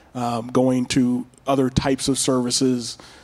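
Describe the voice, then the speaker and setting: A man speaks with a Californian accent. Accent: Californian American. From Pasadena, California. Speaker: police officer. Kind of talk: panel discussion.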